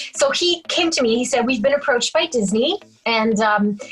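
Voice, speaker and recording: Her intonation is lively, and her pitch is fairly high. The woman speaks at a fairly slow pace. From Quebec, Canada. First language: French. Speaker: singer-songwriter. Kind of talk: interview.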